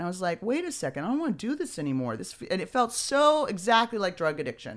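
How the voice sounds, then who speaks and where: A woman talks at a very fast pace in a Californian accent, her pitch swinging very widely. The recording is very clean, with a silent background. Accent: Californian American. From Beverly Hills, Los Angeles. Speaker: comedian and author. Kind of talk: casual interview. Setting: studio, streamed live.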